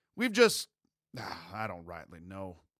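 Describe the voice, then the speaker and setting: A man uses a raspy, put-on character voice with a fairly low pitch. He speaks at a fairly slow pace. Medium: read story. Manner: reserved, terse.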